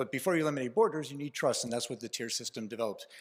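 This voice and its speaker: A man is talking. He speaks with a Canadian accent. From Canada. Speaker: transport industry association executive. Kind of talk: conference speech. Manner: fast.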